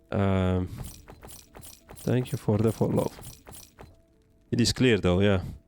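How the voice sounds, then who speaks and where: Music plays in the background as a man with a fairly low voice speaks fairly slowly and fairly evenly, with long, frequent pauses. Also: very even loudness. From Estonia. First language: Estonian. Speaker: gaming streamer. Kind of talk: live gameplay stream chatting with viewers. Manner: halting, many repetitions and fillers.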